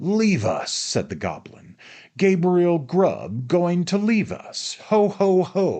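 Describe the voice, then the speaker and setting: Over a quiet background, a put-on character voice at middle pitch drawls along at a very slow pace. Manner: mocking, gleeful.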